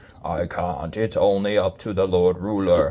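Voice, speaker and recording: The voice is a put-on character. Its delivery holds a moderate speed. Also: man, fairly low pitch for a man. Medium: read story.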